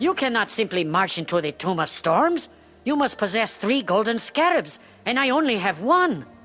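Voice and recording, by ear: Faint music plays behind a man's put-on character voice at a moderate pace. His pitch is high, his tone bright and sharp, with big pitch swings.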